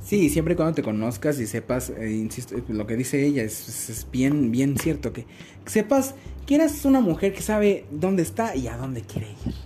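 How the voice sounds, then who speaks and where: Noticeable background noise sits under a man's medium-pitched voice, which moves through very wide pitch swings. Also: moderate pace. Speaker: podcast host. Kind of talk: casual chat. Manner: halting.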